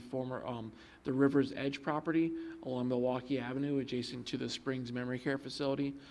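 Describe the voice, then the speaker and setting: Monotone, flat intonation at a fairly quick pace. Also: man. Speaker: village planning staff member. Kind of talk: public meeting staff report. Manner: fast; many filler ums.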